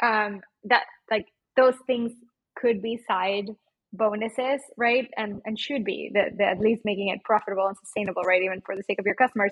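In a Mexican accent, a woman talks at a moderate pace with a medium pitch. Her voice has a slightly husky edge and fairly even intonation.

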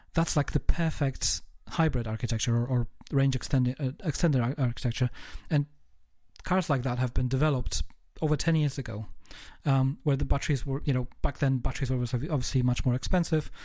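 A man rattles along at a very fast pace, his medium-pitched voice somewhat breathy and fairly even in intonation. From England, Kent. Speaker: podcast host. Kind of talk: casual interview chat. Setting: remote call across the globe.

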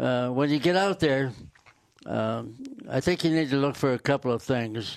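A very slow man with a fairly high pitch, ordinary pitch variation and an American accent. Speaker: county fair representative. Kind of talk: casual chat.

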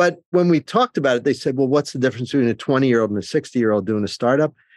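A man with a New Jersey accent, very fast and lively in intonation, the sound dry and close with no echo. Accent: New Jersey American. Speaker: cybersecurity executive and professor. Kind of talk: interview.

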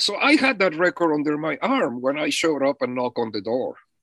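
A man speaks with a non-native accent. The background is quiet and the sound is dry and close, with no echo. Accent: foreign. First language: not English. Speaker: musician, drummer. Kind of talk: interview storytelling.

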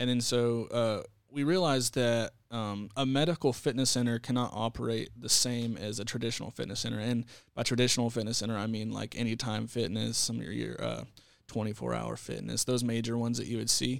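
A man's medium-pitched voice with a Texan accent and fairly even intonation, on a very clean recording with a silent background. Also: fairly quick pace. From Texas. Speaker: fitness center director. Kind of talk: casual interview.

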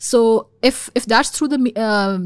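A woman with a Pakistani accent and ordinary pitch variation, in a very clean recording with a silent background. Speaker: policy expert in national security. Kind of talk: casual interview discussion. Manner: fast talker.

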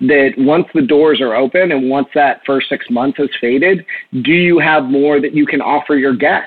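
In a plain, everyday voice, a man with an American accent speaks at a moderate pace and a fairly high pitch, with ordinary pitch variation. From Texas. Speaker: bar and restaurant owner. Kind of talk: interview.

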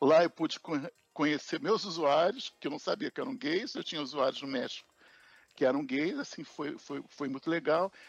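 Music plays behind a man with a fairly high pitch and lively intonation. He speaks at a moderate pace, with a dry, close sound and no echo. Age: 60s. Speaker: project manager. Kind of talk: interview. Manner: halting, many repetitions.

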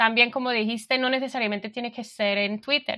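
The recording is very clean, with a silent background. A woman speaks with fairly even intonation. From England, London. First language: English (speaking Spanish). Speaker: frontend developer. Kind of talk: interview. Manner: halting.

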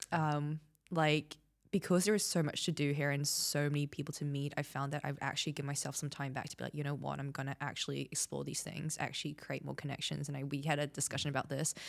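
On a very clean recording with a silent background, a woman speaks very fast in a very deep, low, monotone voice with vocal fry. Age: 20s. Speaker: podcast host. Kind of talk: casual chat.

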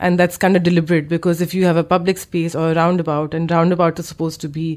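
A woman talks at a fairly quick pace in a fairly low pitch. Her intonation stays monotone and flat. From Pakistan, Lahore. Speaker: visual artist. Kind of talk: interview. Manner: halting.

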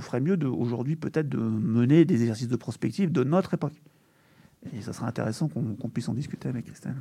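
This man's voice sits fairly high, with a dark, mellow tone and ordinary pitch variation. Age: 40s. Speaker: urban planning agency deputy director. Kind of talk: panel discussion. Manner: halting.

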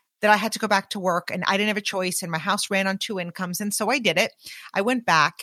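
A woman with an unremarkable speaking voice talks at medium pitch with ordinary pitch variation. The sound is dry and close with no echo, on a very clean recording with a silent background. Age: 40s. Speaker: business leader and podcaster. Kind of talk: casual interview chat. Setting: in person with host.

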